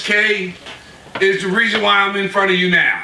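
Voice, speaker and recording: Amid noticeable background noise and audible room echo, a man with an American accent speaks in a raised, projected voice at a high pitch. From Virginia. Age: 60s. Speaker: community activist. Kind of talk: rally speech.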